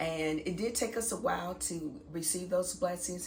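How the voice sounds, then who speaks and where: Audible room echo colors the voice of a woman whose pitch varies in an ordinary way. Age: 40s. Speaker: vlogger and school administrator. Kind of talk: casual vlog talk to camera.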